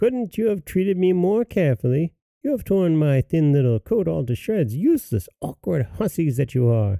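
Putting on a shrill character voice, a man speaks at a moderate pace in a fairly high pitch on a very clean recording with a silent background. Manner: angry, scolding.

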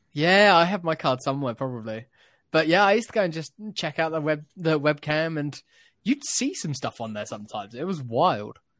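On a very clean recording with a silent background, a man talks with a plain, everyday voice. He has a fairly high pitch and lively intonation. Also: fairly quick pace. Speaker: podcast host. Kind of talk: casual chat.

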